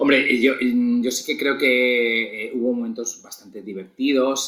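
This is a man speaking. He has a Spanish accent. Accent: Peninsular Spanish. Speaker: podcast co-host. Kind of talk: casual chat.

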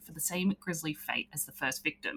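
Very fast speech from a woman comes in a bright, sharp tone. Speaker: podcast host. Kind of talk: casual chat.

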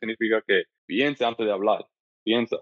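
A man talking at a very fast pace. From US Northeast, Brooklyn, New York, Dominican parents. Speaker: podcaster and mental health advocate. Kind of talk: casual interview. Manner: halting, many repetitions and fillers.

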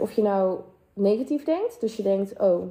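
The pace is moderate. A woman's voice rides fairly high. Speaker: podcast host and mindset coach. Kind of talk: motivational monologue; sales pitch. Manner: animated.

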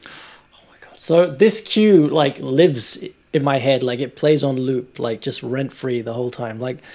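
A man's dark, mellow tone carries ordinary pitch variation. He speaks at a fairly slow pace, with big swings in loudness. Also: medium pitch for a man. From Italy. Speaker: video game composer. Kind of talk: casual interview. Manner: animated.

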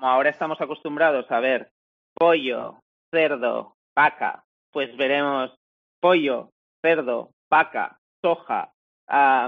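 The delivery comes at a very slow pace, broken by long, frequent pauses. Pitch variation is ordinary. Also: man. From Spain, small village. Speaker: co-founder of a plant-based meat company. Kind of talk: interview.

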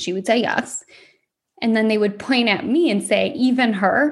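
A woman with an American accent, somewhat breathy, at a fairly high pitch with ordinary pitch variation and a fairly slow pace. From Michigan, US. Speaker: podcast host. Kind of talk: personal monologue.

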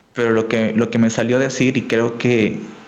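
A man is speaking in audible room echo. Background noise can be heard clearly. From Peru, Tacna (south, near Chile border). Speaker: educational YouTuber and programming teacher. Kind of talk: casual interview chat.

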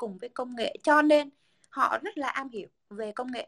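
Lively intonation rides on a bright, sharp tone in this raised, projected voice. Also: woman, dry, close sound with no echo. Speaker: podcast co-host, communications professional. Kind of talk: casual chat.

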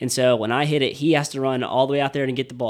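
A man with an American accent and medium pitch talks at a very fast pace on a very clean recording with a silent background. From Lake City, Florida. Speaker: baseball player and singer-songwriter. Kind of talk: interview.

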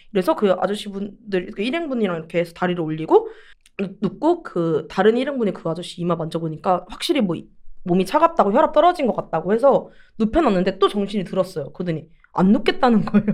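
A woman at a medium pitch, very fast pace, and very wide pitch swings. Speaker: podcast co-host. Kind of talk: casual chat. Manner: gruff, rough-spoken.

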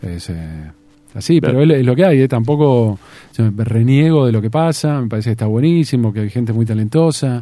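Moderately paced and lively in intonation, a man speaks with a medium pitch and a dark, mellow tone. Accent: Rioplatense. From Argentina, Tandil. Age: 50s. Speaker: radio broadcaster. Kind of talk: interview conversation. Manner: halting, with repetitions.

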